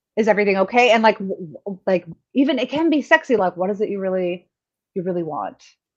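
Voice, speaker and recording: Speaking at a very fast pace with lively intonation, a woman with a medium pitch talks in a Canadian accent. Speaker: sex and relationships radio host. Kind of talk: casual chat.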